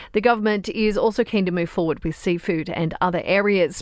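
A woman speaks with an Australian accent at medium pitch. Her pace is moderate. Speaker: news presenter. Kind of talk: newsreading. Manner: brisk, crisp and neutral; formal, steady, authoritative.

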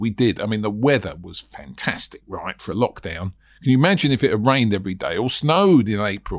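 Very clean and set against a silent background, the recording captures a man speaking with a British accent. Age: 60s. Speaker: property sourcing trainer and podcast host. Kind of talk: solo podcast monologue. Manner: conversational, rambling.

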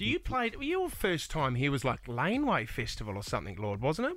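A man keeps a moderate pace, talking in an Australian accent. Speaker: breakfast radio co-host. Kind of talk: radio interview. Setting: studio.

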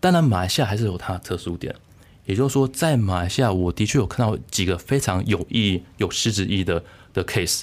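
A man with a Taiwanese accent talks at a very fast pace in a fairly low pitch with ordinary variation. The recording is very clean with a silent background. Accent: Taiwanese Mandarin. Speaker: political science researcher. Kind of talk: interview. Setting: studio.

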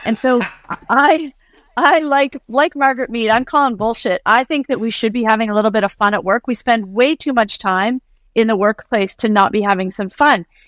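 A woman with an unremarkable speaking voice, fairly high pitch and ordinary pitch variation at a moderate pace, on a very clean recording with a silent background and a dry, close sound with no echo. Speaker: author and company CEO. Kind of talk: casual interview chat.

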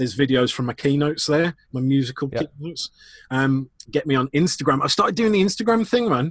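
A man's very fast, somewhat breathy voice with a Lancashire accent, fairly high in pitch, with lively intonation and a dry, close sound with no echo. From northwest England, Chorley. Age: 30s. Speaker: customer experience speaker and consultant. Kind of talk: casual interview chat.

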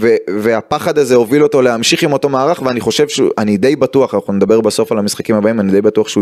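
A man speaks with few pauses and a slightly mellow tone.

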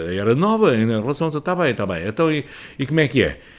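A man does the talking. The pitch of his voice swings very widely. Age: 70s. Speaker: veteran journalist and author. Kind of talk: interview.

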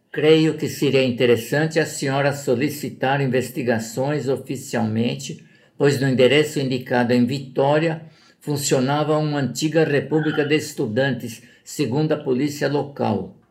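In a room with audible echo, a man with a fairly high pitch talks at a moderate pace with fairly even intonation. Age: 80s+. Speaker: father of a missing person. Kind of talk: reading aloud.

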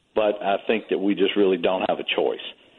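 A man with a Louisiana accent and a fairly low voice. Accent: Southern US, Louisiana. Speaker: charter captain and duck hunting guide. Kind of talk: radio panel discussion.

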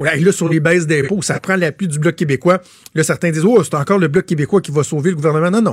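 In a Quebec accent, a man with a high pitch talks at a very fast pace with ordinary pitch variation, the sound dry and close with no echo. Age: 30s. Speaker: radio host. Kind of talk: radio talk show.

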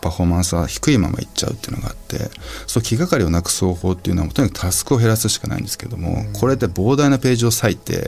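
Over noticeable background noise, a man talks at a very fast pace, his very deep, low voice moving with lively intonation. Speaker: writer and environmental advocate, former record producer. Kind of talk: interview conversation.

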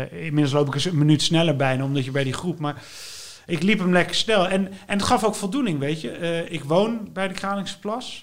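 Lively intonation marks a man's high-pitched voice. He talks at a moderate pace. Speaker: writer. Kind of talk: casual interview. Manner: halting.

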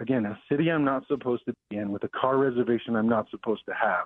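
This man has a normal speaking voice with an American accent, medium pitch and ordinary pitch variation. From Denver, Colorado. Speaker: pastor. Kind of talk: interview.

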